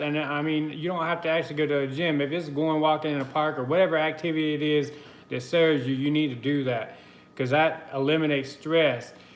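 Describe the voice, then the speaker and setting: A man with an American accent speaks at a moderate pace in a fairly high voice. Audible echo fills the room. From US South, the Carolinas. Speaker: spiritual guidance livestreamer. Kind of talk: live stream chat and spiritual message. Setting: live video stream from computer. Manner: casual, conversational.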